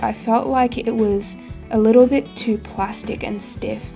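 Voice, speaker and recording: Over background music, a woman speaks at a fairly slow pace with ordinary pitch variation. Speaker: artist. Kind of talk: casual voice-over narration. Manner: carefully recorded, not very fluent diction.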